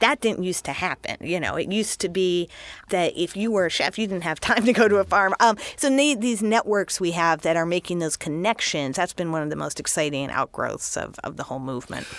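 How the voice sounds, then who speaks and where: A woman speaks in a plain, everyday voice at a fairly low pitch, moving at a fairly quick pace with lively intonation on a very clean recording with a silent background. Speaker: food critic. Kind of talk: radio interview. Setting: studio.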